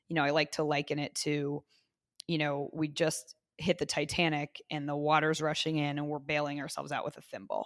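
Her voice is very deep and low in pitch, with a Midwestern American accent, monotone, flat intonation and a fairly quick pace. The recording is very clean and dry, close with no echo, against a silent background. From Indiana (Zionsville, near Indianapolis). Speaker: city councilor. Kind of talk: interview.

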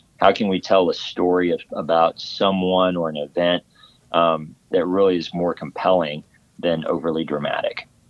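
A man with a Texan accent speaks at a moderate pace. His very deep, low voice stays monotone and flat. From West Texas (Odessa). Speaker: Navy veteran and film production company founder. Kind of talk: interview.

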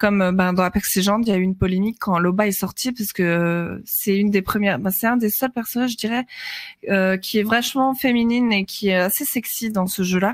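A woman's unremarkable speaking voice, medium in pitch with ordinary pitch variation, at a moderate pace with hardly any pauses. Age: 20s. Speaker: streamer. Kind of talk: casual chat.

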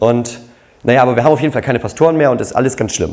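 A man's medium-pitched voice at a very fast pace, fairly even in intonation, with audible room echo. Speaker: pastor. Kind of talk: sermon.

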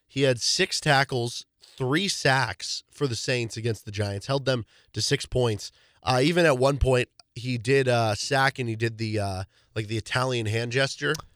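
A man talks at a moderate pace in a normal speaking voice, medium in pitch. The sound is dry and close with no echo, on a very clean recording with a silent background. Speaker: radio host. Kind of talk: radio sports talk show. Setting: radio studio.

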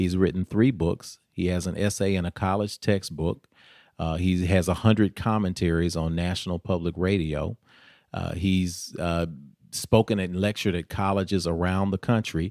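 A man's very deep, low voice in a Tennessee accent, moderate pace, fairly even intonation, on a very clean recording with a silent background. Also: dry, close sound with no echo. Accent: Southern US (Tennessee). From US South, Nashville, Tennessee. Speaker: mayoral candidate. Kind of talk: interview.

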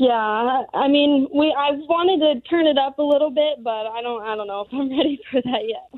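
Moderate pace, ordinary pitch variation and hardly any pauses. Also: woman, high pitch for a woman. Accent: American. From Las Vegas, Nevada. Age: 20s. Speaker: drag racer and student. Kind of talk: interview.

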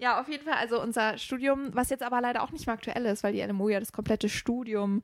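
Talking very fast with hardly any pauses, a woman uses a fairly high pitch. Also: ordinary pitch variation. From Rhineland, Germany. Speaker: trainee teacher. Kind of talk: casual chat.

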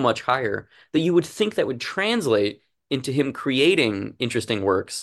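A man with a medium-pitched voice and lively intonation speaks at a moderate pace against a quiet background, a normal speaking voice. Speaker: comic book writer and illustrator. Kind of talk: interview.

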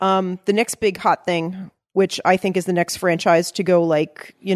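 A woman with an American accent, medium pitch, monotone, flat intonation and a moderate pace, in a dry, close sound with no echo. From Long Island, New York. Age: 40s. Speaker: fan site editor. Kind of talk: casual chat.

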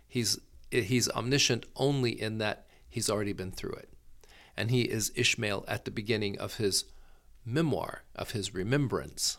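A normal speaking voice from a man at medium pitch, moderate pace and ordinary pitch variation, in a very clean recording with a silent background. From US South, Florida Gulf Coast. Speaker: opera company director. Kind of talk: casual interview.

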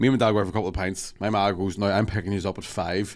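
A man speaks very fast in a Scottish accent. His pitch is fairly low. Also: very clean recording, silent background. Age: 30s. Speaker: comedian. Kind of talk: casual chat.

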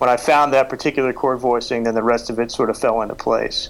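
A man with an American accent, medium in pitch, with fairly even intonation. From Oklahoma and Texas. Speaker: songwriter. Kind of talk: interview. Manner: halting.

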